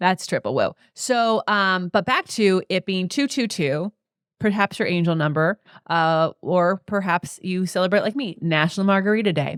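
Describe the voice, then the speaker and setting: In a very clean recording with a silent background and a dry, close sound free of echo, a woman talks in an animated tone at a medium pitch with ordinary pitch variation. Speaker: podcast host and Pilates teacher. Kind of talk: casual chat. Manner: fast.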